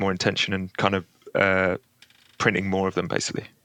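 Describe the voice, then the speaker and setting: A man with an English accent, fairly low pitch and bright, sharp tone, speaking very fast in a flat monotone, the sound dry and close with no echo. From England, London. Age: 30s. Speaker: guitar pedal builder. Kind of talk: casual interview chat.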